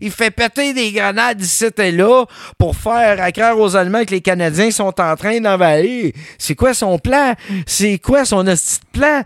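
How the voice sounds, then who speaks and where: Speaking at a fairly slow pace in a Quebec accent, this animated voice comes across dry and close, with no echo. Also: man, high pitch for a man, ordinary pitch variation. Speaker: history podcast host. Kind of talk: storytelling, casual chat.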